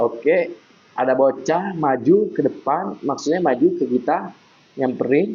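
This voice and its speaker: With a non-native accent, a man speaks at a fairly high pitch with ordinary pitch variation. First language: not Indonesian (speaking Indonesian). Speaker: gaming youtuber. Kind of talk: gameplay commentary. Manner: animated.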